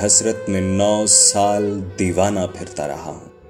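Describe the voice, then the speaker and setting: A man's voice, fairly low in pitch, over music in the background. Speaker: poetry reciter. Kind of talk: poetry reading.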